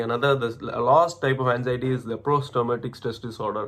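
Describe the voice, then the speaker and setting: A man with an Indian accent, medium pitch and fairly even intonation. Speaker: MBA student. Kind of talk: casual talk to camera. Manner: hesitant, halting.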